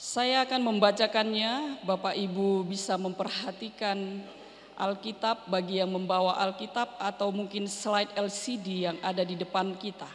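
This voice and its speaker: A woman talks at a medium pitch and moderate pace with hardly any pauses. Her intonation is fairly even, and noticeable background noise is present. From North Sumatra, Berastagi (Karo). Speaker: pastor. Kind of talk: sermon. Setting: church.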